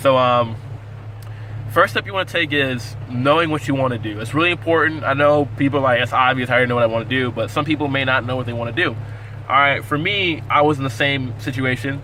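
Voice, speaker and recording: A man at a very fast pace with ordinary pitch variation, amid noticeable background noise. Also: medium pitch for a man. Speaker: navy sailor and cook. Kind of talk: casual vlog tutorial. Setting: in a car.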